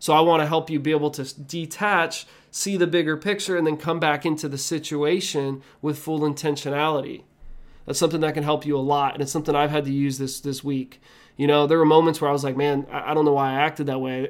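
An animated man at a fairly high pitch and very fast pace, on a very clean recording with a silent background. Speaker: podcast host and leadership consultant. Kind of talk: solo motivational talk. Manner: animated, conversational; slight stutter on certain words.

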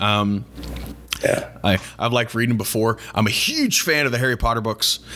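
A man with an American accent, medium pitch, fairly even intonation, moderate pace and very even loudness, against noticeable background noise. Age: 20s. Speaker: podcast host. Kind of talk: casual interview.

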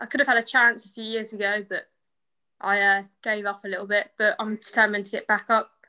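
A woman with a fairly high pitch and a bright, sharp tone talks at a fairly quick pace on a very clean recording with a silent background. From Guernsey. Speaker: amateur footballer. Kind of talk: casual interview. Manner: hesitant.

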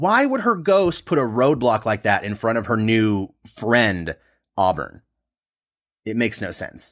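In a very clean recording with a silent background, a man with an ordinary speaking voice talks at a fairly slow pace, his medium pitch carrying lively intonation. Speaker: romance book podcast co-host. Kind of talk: casual comedic chat with sketch bits. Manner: playful, jokey.

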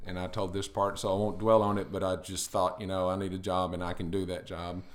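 With a Texan accent, a man speaks in a very deep, low pitch and monotone, flat intonation. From Northeast Texas (Paris, Dallas area). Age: 50s. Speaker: retired firefighter and restaurant owner. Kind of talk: casual interview.

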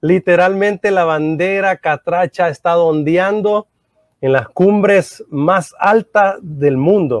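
The recording of this man's high-pitched voice is dry and close, with no echo. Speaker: radio host. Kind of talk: interview.

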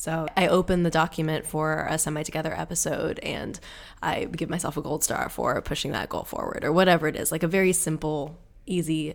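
Fairly quick in pace, a woman talks at a fairly low pitch with fairly even intonation. It's an unremarkable speaking voice. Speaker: podcast co-host. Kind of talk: casual chat between sisters. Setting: recording from Lisbon with street noise.

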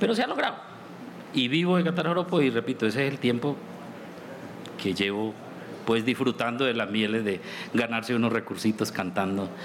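At a fairly quick pace and medium pitch, a man talks with lively intonation and very even loudness, leaving long, frequent pauses over noticeable background noise. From Colombia, Casanare (Llanos). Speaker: folk singer. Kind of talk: panel discussion.

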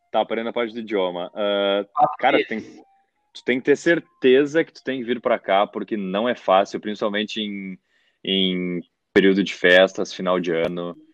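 Moving at a moderate pace, a man with a fairly low pitch and an ordinary speaking voice shows ordinary pitch variation and big swings in loudness. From Porto Alegre, southern Brazil. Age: 30s. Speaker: interview guest, emigrant. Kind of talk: casual chat.

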